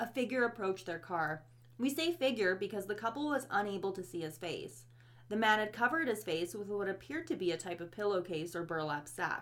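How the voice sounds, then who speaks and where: Her pitch swings very widely around a medium level. The woman talks at a fairly quick pace. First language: not English. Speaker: true crime podcast co-host. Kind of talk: scripted narration.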